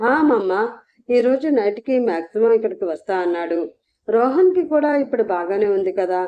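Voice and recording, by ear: Against quiet surroundings, a passage is read aloud in a natural voice.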